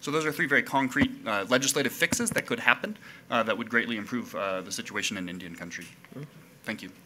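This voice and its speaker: In an American accent, a man with a medium-pitched, bright, sharp voice talks very fast with lively intonation and big swings in loudness over light background noise. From US, Cherokee Nation; US. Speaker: attorney; presenter. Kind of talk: formal testimony. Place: meeting room. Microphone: podium.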